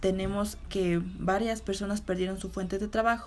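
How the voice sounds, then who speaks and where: A woman's medium-pitched voice at a moderate pace. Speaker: interviewee. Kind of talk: interview answers. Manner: halting.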